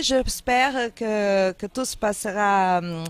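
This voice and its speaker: A woman with a slight Angolan accent at a very slow pace, on a very clean recording with a silent background. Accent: Portuguese-speaking, slightly Angolan. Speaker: interviewer. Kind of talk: interview.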